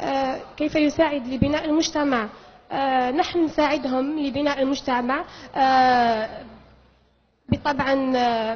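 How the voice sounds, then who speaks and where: A woman's high voice at a very slow pace, with fairly even intonation. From Algeria, Algiers. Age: 20s. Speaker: beauty pageant contestant. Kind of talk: pageant interview. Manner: halting.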